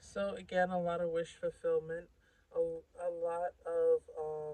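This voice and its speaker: The voice is soft-spoken and fairly slow. Music plays in the background. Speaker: tarot reader. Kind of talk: tarot reading.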